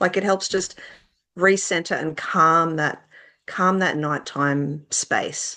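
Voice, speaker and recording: A woman speaks with an Australian accent and a bright, sharp tone. Her intonation is fairly even over a quiet background. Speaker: children's author. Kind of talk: interview. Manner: casual, hesitant with fillers.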